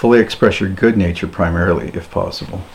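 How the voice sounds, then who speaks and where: A man with a Canadian accent speaks at a fairly quick pace with fairly even intonation. Noticeable background noise runs under the recording. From Ontario, Canada. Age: 50s. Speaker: homesteader and YouTuber. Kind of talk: solo podcast monologue. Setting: cabin.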